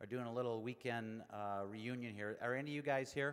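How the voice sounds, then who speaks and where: A man speaks at a fairly quick pace. His pitch is medium and his intonation fairly even. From Naperville, Illinois. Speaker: college administrator, master of ceremonies. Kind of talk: ceremony speech. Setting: stage with audience. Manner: hesitant, many fillers.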